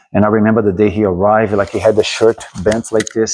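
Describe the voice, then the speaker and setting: In a Brazilian accent, a man talks at a very fast pace. His fairly low voice keeps a monotone, flat intonation. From Brazil, Rio de Janeiro. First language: Portuguese. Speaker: martial arts instructor. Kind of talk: casual interview. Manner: halting, many repeats.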